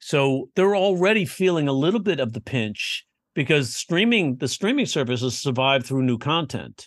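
Using an ordinary speaking voice, a man talks at a moderate pace and fairly high pitch with lively intonation and very even loudness, recorded dry and close with no echo over a quiet background. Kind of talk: casual chat.

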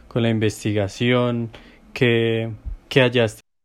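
Very slowly and in a flat monotone, a man speaks at a medium pitch. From Villavicencio, Colombian plains. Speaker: podcast host. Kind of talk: interview.

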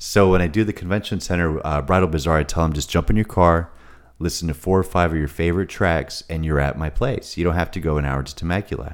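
A very fast-talking man with a very deep, low pitch, ordinary pitch variation and an American accent. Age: 30s. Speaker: event venue owner. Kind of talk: casual interview chat. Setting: studio.

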